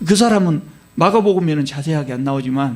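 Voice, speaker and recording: Lively intonation and a fairly high pitch mark this man's speech. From Korea, Jeolla province. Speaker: pastor. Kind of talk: sermon. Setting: church.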